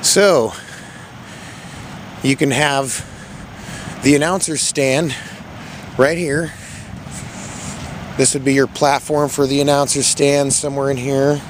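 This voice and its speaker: Amid noticeable background noise, a man with an American accent and a fairly high pitch speaks at a fairly slow pace in a monotone, flat intonation, with long, frequent pauses. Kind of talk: walking video tour narration. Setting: outdoors.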